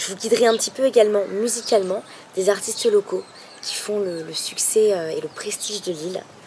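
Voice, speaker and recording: Noticeable background noise sits behind a woman talking at a fairly quick pace. Her medium pitch shows ordinary variation, and her loudness swings widely. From metropolitan France, Nantes. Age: 20s. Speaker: language student and travel blogger. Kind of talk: video blog introduction. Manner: hesitant, many fillers.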